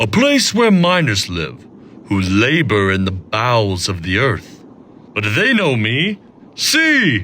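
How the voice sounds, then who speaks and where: A man puts on a cartoonish character voice at a medium pitch, moving at a fairly slow pace. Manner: grave, commanding.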